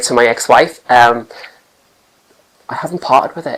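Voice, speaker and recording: A man speaks with a Geordie accent and ordinary pitch variation. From Newcastle, northern England. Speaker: catwalk participant. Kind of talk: interview. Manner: halting.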